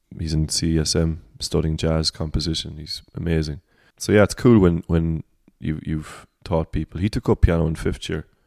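A man with a very deep, low pitch speaks at a moderate pace and with fairly even intonation. The sound is dry and close with no echo, on a very clean recording with a silent background. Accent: Cork. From Ireland, Cork. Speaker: singer-songwriter. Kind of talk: casual chat. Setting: at home.

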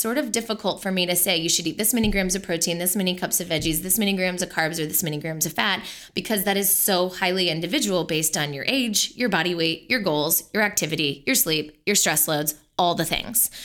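A woman's unremarkable speaking voice of medium pitch, with lively intonation at a fairly quick pace. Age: 30s. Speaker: nutritional therapist and podcast co-host. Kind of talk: casual chat with health advice.

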